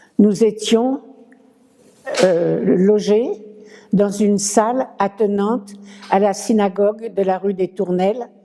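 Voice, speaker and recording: A medium-pitched woman at a very slow pace, monotone and flat, with long, frequent pauses and noticeable background noise. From Paris, France. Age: 90s. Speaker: former scout, witness. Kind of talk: testimony.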